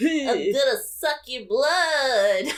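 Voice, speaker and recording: A put-on character voice, high in pitch, carries a playful, menacing tone. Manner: playful mock-menacing.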